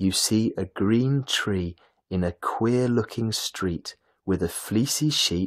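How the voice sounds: In a natural reading voice with ordinary pitch variation, the speaker reads over a quiet background.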